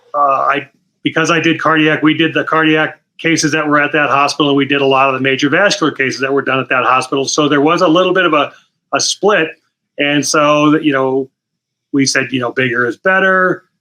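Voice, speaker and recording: In an ordinary speaking voice, a man talks at a fairly quick pace with fairly even intonation and a fairly high pitch. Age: 60s. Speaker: retired anesthesiologist. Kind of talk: interview.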